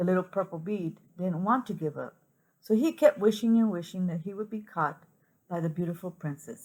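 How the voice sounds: Ordinary pitch variation marks a natural reading voice. Nothing stirs in the background.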